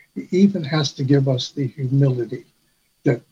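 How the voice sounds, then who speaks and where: Somewhat breathy, a man speaks at a moderate pace with a fairly high pitch and a dark, mellow tone. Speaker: church elder. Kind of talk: testimony.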